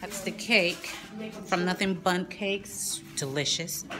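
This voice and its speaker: Clear music plays in the background as a woman speaks at a very slow pace with fairly even intonation. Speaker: party guest vlogger. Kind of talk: casual vlog chat. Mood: cheerful. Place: hall. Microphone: phone near.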